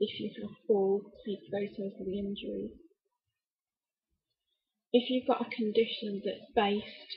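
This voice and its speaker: A woman speaks at a fairly slow pace and medium pitch, with vocal fry and fairly even intonation. Her pauses are long and frequent, and her loudness swings widely. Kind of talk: casual talk to camera. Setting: laptop microphone, poor sound.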